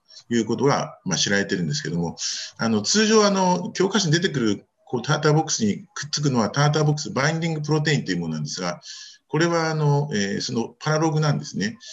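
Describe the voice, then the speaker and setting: Very fast, somewhat breathy speech with very wide pitch swings. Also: man, fairly high pitch for a man. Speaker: reproductive medicine physician. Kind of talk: journal club paper presentation. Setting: video call.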